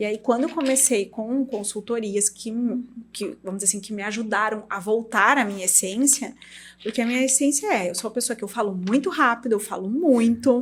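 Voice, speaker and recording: A woman with a gaúcho accent, a fairly high pitch, ordinary pitch variation and a fairly quick pace. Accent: gaúcho, strong T pronunciation. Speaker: dermatologist and clinic owner. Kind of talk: podcast interview. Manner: assertive.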